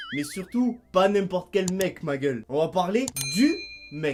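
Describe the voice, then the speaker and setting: With music in the background, a man talks at a fairly slow pace with lively intonation. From Toulouse, southern France. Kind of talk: comedic rant to camera.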